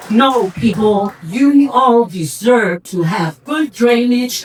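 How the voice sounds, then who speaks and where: A woman speaks at a very slow pace with lively intonation. Noticeable background noise sits behind her. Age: 60s. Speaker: political candidate. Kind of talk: candidate forum answer. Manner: animated.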